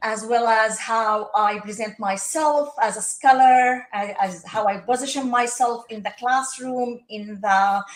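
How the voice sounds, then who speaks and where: Fairly slow speech in an Arabic accent with hardly any pauses, big swings in loudness and noticeable background noise. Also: woman, fairly high pitch for a woman, fairly even intonation. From Palestine. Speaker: social work professor. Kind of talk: podcast interview. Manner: hesitant, many fillers.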